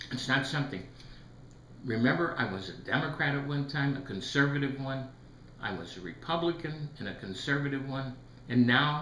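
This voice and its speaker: Lively, fairly high male voice at a moderate pace, with long, frequent pauses, audible room echo and noticeable background noise. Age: 70s. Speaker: retired federal employee commenting on economics. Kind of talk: video commentary monologue.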